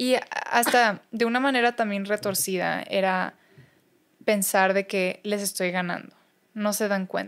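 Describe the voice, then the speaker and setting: Her pace fairly slow and her pitch variation ordinary, a woman speaks with long, frequent pauses. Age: young. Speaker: speaker and recovering addict; podcast guest. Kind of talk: interview, personal testimony. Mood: reflective, personal. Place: studio. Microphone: studio mic.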